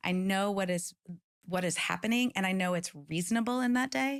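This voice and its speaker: In a very clean recording with a silent background, a speaker with an American accent talks at a fairly quick pace with ordinary pitch variation. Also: woman. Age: 50s. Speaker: author and keynote speaker. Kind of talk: interview. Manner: fast.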